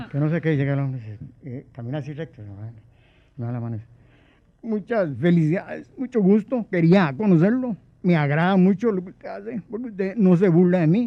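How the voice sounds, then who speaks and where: A man's high-pitched voice with very wide pitch swings, big swings in loudness and a fairly quick pace. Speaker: impersonator comedian. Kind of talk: casual chat, anecdotes. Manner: animated, acting out voices.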